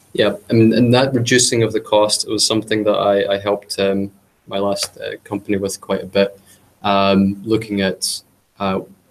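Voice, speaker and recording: Speaking with a British accent, a man keeps a fairly low pitch and monotone, flat intonation. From UK. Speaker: cloud consultant / meetup speaker. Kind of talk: technical presentation. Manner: hesitant, many filler words.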